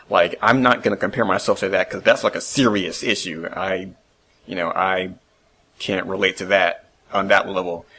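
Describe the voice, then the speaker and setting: Quiet, a man talks at a moderate pace. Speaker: solo video podcaster. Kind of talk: casual monologue. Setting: home recording at computer. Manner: quiet, reserved.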